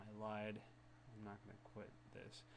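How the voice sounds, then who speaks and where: A man talks in a fairly low pitch. There is audible room echo and noticeable background noise. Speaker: Linux software reviewer. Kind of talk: screencast tutorial. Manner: halting, stuttering.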